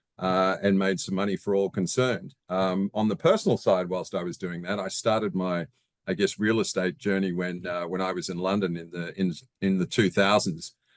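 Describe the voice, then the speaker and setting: A man speaks at a moderate pace with a very deep, low pitch and an Australian accent. His intonation is monotone and flat, over a quiet background. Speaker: real estate investor. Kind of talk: interview. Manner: hesitant, many fillers.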